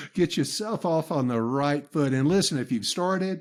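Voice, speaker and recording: The recording is very clean, with a silent background. A man speaks at a fairly high pitch and a moderate pace, with lively intonation. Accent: Southern US. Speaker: business trainer and podcaster. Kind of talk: interview.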